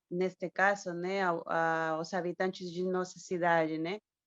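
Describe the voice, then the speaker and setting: Against a quiet background, a woman speaks in a monotone, flat way with a fairly low pitch and a dry, close sound with no echo. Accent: Spanish. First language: Spanish (speaking Portuguese). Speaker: academic historian. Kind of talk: question at online panel. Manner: halting.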